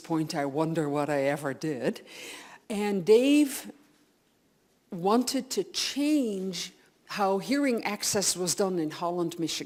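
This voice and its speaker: Here is a woman with a Dutch accent. Her intonation is lively. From Netherlands. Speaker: audiologist. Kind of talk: lecture. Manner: animated.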